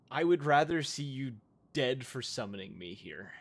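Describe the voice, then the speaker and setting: A man puts on a raspy character voice at a medium pitch and a moderate pace. The recording is very clean, with a silent background. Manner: angry.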